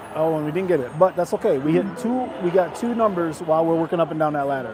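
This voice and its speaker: Through noticeable background noise, a man with a high pitch talks at a fairly quick pace with ordinary pitch variation. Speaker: casino gaming streamer. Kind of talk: live casual commentary while gambling. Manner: fast.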